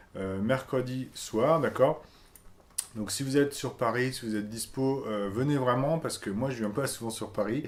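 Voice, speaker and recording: A man at a medium pitch talks fairly slowly, his pitch varying in an ordinary way. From France, Strasbourg (Alsace). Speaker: YouTuber, web entrepreneur. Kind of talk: casual vlog announcement. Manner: hesitant, many fillers (euh, bah).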